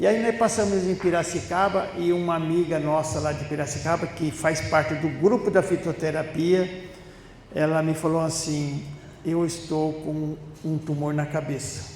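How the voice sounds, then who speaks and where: With noticeable background noise, a man talks slowly-ish at a fairly high pitch, keeping his intonation fairly even. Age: 70s. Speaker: spiritist lecturer. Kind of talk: talk at a spiritist center. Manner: conversational storytelling.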